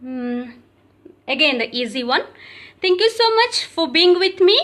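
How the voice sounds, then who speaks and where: Her voice sits extremely high for a woman, swinging very widely in pitch as she speaks at a fairly slow pace. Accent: Odisha. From India, Odisha. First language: Odia. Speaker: yoga teacher. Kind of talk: tutorial. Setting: live video. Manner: halting.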